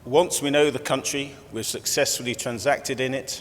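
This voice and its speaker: A loud male voice, medium in pitch, with fairly even intonation. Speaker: company executive chairman. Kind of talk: conference presentation. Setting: conference room with audience. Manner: conversational, with fillers.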